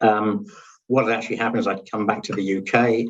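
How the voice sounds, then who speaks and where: A man speaks with an English accent. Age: 60s. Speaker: cancer survivor, dental industry consultant. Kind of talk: interview testimony. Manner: hesitant, many fillers.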